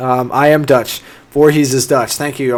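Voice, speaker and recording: Noticeable background noise runs under this recording. A man speaks at a fairly quick pace. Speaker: engineering channel host, civil engineer. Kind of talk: live stream Q&A. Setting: live stream. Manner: fast; casual, upbeat.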